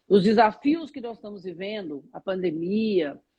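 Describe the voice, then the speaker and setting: A woman speaks at a fairly slow pace, her voice somewhat breathy. Her intonation is lively. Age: 60s. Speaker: spiritual teacher. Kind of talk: interview on a live stream. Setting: online live stream.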